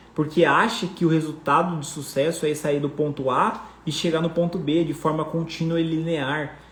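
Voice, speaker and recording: Over noticeable background noise and audible room echo, a man speaks in an animated tone at a fairly high pitch. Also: moderate pace, hardly any pauses. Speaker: personal finance coach. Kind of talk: live online class.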